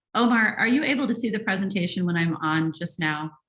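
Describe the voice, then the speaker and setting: Rushing along at a very fast pace, this woman keeps a medium pitch and ordinary pitch variation. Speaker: functional medicine physician. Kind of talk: webinar presentation.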